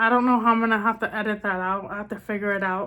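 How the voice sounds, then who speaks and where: At a moderate pace, a woman speaks in a fairly high, monotone, flat voice, captured in a very clean recording with a silent background. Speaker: beauty vlogger. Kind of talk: makeup tutorial. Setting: recording in a bathroom. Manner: casual, filler-heavy (like, um); speech sometimes misses words (hard of hearing).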